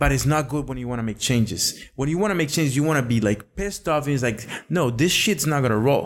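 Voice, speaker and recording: A man talks at a very fast pace with a Spanish accent. His pitch is fairly high, with ordinary variation. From Costa Rica. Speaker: podcast guest. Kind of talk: casual chat.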